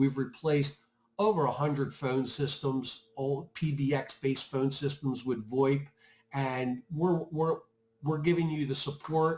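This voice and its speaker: A man speaks with a fairly high pitch, ordinary pitch variation and a somewhat breathy quality. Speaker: IT services manager. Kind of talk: webinar presentation.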